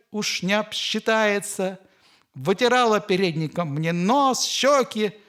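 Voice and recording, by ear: Here the text is read aloud in a natural voice.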